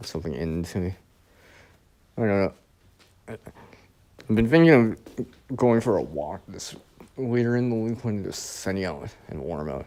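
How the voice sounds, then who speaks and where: This man's voice sits very deep and low, with very wide pitch swings and big swings in loudness. He keeps a moderate pace broken by long, frequent pauses. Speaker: live streamer. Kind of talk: casual live stream chat.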